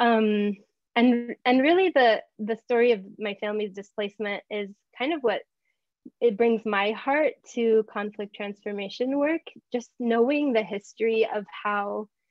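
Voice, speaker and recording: A woman with an American accent and an unremarkable speaking voice talks at a fairly slow pace, her fairly high pitch showing ordinary variation. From US South. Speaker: community organizer and workbook co-author. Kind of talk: workshop introduction.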